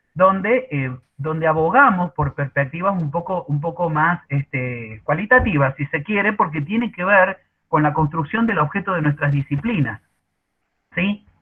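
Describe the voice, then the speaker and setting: This man's voice is fairly high in pitch. He speaks fairly slowly, with lively intonation. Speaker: university workshop facilitator. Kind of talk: online workshop presentation. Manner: hesitant, many fillers.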